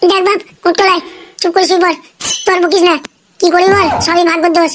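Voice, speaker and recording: In a cartoonish character voice, a woman speaks at an extremely high pitch and a very fast pace. Her intonation is monotone and flat, her loudness very even. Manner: plaintive, weary.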